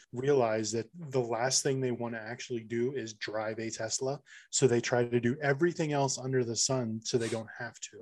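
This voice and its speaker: In an ordinary speaking voice, a man of medium pitch talks at a moderate pace with fairly even intonation. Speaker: podcast host. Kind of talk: casual chat.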